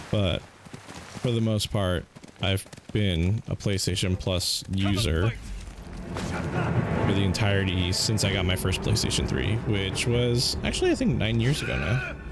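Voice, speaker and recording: With noticeable background noise behind him, a man talks at a fairly slow pace in a fairly low pitch with ordinary pitch variation. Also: very even loudness. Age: 30s. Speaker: gaming streamer. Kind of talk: casual chat.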